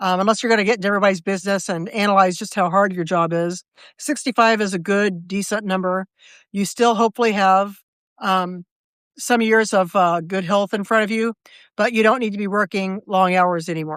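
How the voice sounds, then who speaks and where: In a normal speaking voice with an American accent, a woman speaks at a fairly quick pace and medium pitch with fairly even intonation, on a very clean recording with a silent background and a dry, close sound with no echo. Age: 60s. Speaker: writer and live video host. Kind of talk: casual live video chat. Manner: conversational with frequent fillers and restarts.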